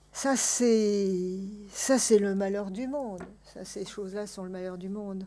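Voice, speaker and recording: A woman talks at a very slow pace with fairly even intonation and big swings in loudness, over noticeable background noise and audible room echo. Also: medium pitch for a woman. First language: Armenian (speaking French). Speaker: author and translator. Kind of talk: public talk Q&A. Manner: hesitant, many fillers.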